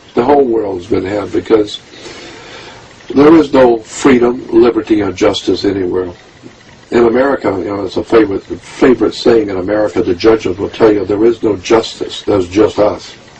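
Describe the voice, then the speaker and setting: A man talks at a moderate pace. Noticeable background noise runs beneath his voice. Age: 70s. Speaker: conspiracy researcher and author. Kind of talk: interview monologue. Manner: animated.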